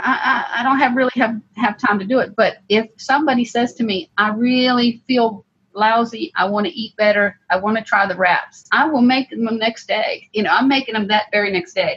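The woman's voice sits at a fairly high pitch. She keeps a moderate pace, and her pitch varies in an ordinary way. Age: 50s. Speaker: home grower and cook. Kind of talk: casual chat. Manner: animated.

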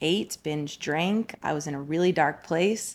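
A woman with an American accent speaks with ordinary pitch variation in a very clean recording with a silent background. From New Jersey and Colorado. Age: 30s. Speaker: fitness coach. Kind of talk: casual interview chat.

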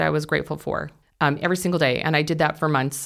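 In a very clean recording with a silent background, a woman with a very deep, low voice and vocal fry speaks at a fairly quick pace with an American accent. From California. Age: 40s. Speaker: stay-at-home mother and caregiver. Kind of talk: interview, personal testimony. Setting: studio.

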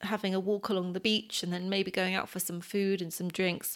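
The voice has a British accent. It belongs to a woman. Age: 30s. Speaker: podcast co-host's partner. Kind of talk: casual chat.

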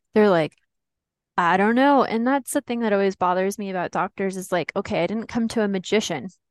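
An ordinary speaking voice moves at a fairly quick pace with ordinary pitch variation, sounding dry and close with no echo against a quiet background. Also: woman. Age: 20s. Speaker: patient sharing illness story. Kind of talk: personal testimony.

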